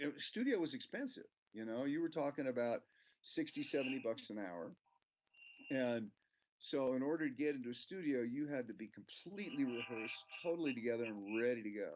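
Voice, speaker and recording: At a fairly quick pace, a man speaks at a medium pitch, an ordinary speaking voice. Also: lively intonation. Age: 60s. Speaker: professional musician and music teacher. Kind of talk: interview.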